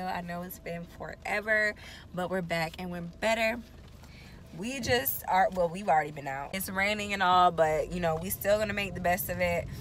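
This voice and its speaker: A woman talks at a moderate pace with ordinary pitch variation and big swings in loudness. There is light background noise, and the sound is dry with no echo. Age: 20s. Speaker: lifestyle vlogger. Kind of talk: casual vlog talk to camera.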